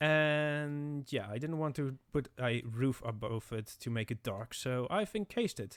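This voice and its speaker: Lively intonation at a very slow pace, in a very clean recording with a silent background. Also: man. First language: not English. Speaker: gaming content creator. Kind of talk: gameplay commentary. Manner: halting, many fillers and restarts.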